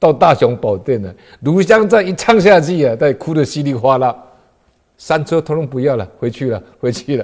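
Against a quiet background, a man speaks at a moderate pace. His pitch is fairly high and swings very widely. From Taiwan. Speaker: police officer and Buddhist lecturer; lay Buddhist storyteller. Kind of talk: lecture; Buddhist talk telling a story. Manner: frequent filler particles. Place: studio.

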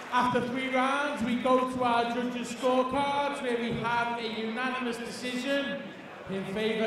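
A loud man at a fairly slow pace, with noticeable background noise and strong room echo. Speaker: ring announcer. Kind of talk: fight introductions over PA. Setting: live event arena with audience. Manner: loud, formal announcer delivery. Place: hall. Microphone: handheld.

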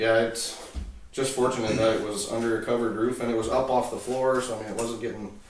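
Delivered at a very fast pace in a monotone, flat intonation, the speech has light background noise and audible room echo. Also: man. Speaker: owner of the tractor cab. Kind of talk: interview answer. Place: garage.

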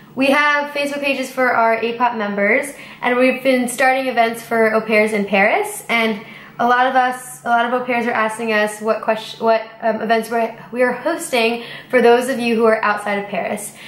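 A woman speaks with fairly even intonation. Audible room echo surrounds her voice. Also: moderate pace. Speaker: au pair channel host. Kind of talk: casual Q&A vlog chat. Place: home room. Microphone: camera far.

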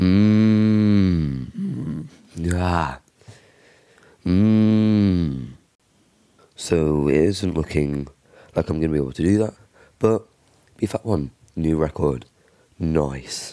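Speaking very slowly with long, frequent pauses, a man uses a very deep, low pitch and a dark, mellow tone, with ordinary pitch variation. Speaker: bass singer. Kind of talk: casual talk to camera, vocal range test.

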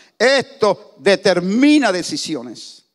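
A man speaks against a quiet background. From Panama. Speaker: pastor. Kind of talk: sermon. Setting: church. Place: church. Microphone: handheld.

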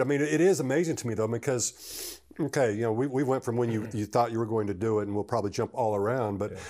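It is quiet in the background. Words pour out of a man at a very fast pace. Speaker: podcast host, former NFL long snapper; interview host. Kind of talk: interview. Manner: repetitive, stammering. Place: home room. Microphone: lapel.

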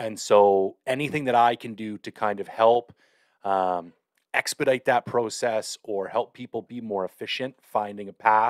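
Against a quiet background, a man with a normal speaking voice talks at a fairly slow pace, with fairly low pitch, fairly even intonation and a dry sound with no echo. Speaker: podcast host. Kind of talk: webinar talk. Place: home room. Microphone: studio mic.

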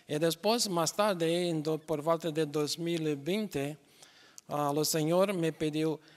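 Speaking with a Brazilian accent, a man with a fairly high voice talks at a very slow pace with fairly even intonation. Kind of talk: interview. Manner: halting with many fillers. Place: stage. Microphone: handheld.

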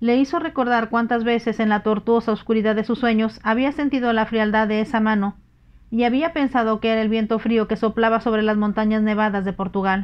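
In a plain, everyday voice, a woman talks at a fairly quick pace and fairly high pitch, with fairly even intonation and very even loudness. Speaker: audiobook narrator. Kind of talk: bedtime story reading aloud, audiobook narration in ASMR style. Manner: calm, intimate, lulling delivery.

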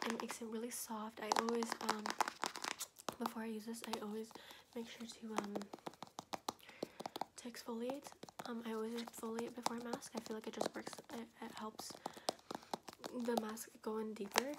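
Loud background noise runs under the speech. The intonation is flat and monotone, with long, frequent pauses. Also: woman. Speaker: ASMR creator. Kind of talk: ASMR video; soft-spoken ASMR chat. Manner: soft-spoken, fast. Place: home room. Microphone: phone near.

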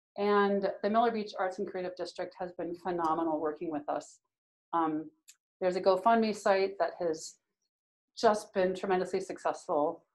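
A woman with an American accent speaks at a moderate pace with ordinary pitch variation. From US Midwest. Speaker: painter and printmaker; instructor. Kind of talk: live demonstration stream. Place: hall. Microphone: phone near.

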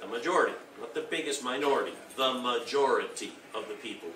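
A man talks at a very fast pace. Noticeable background noise can be heard behind him. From Argentina. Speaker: urban planning speaker. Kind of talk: conference talk. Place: hall. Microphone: podium.

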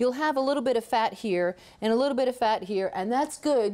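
Her intonation is lively throughout. The woman keeps a fairly quick pace. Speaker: culinary arts instructor. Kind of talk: cooking show tutorial. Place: studio. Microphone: lapel.

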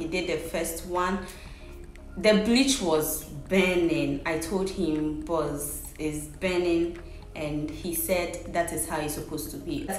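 A woman's fairly low voice at a very slow pace, with audible room echo and light background noise. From Ghana. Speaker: vlogger. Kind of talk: casual talk to camera. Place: home room. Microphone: phone near.

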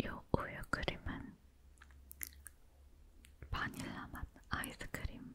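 Whispering from a woman at a very slow pace, broken by long, frequent pauses. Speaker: ASMR creator. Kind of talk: whispered ASMR chat while eating. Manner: whispered.

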